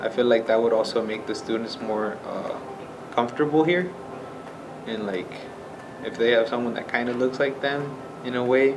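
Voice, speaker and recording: A man of medium pitch with a Spanish accent talks at a moderate pace with ordinary pitch variation and long, frequent pauses, against noticeable background noise and audible room echo. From Nebraska, US. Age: 18. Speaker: welding student. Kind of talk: personal interview testimony. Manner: casual, hesitant with fillers.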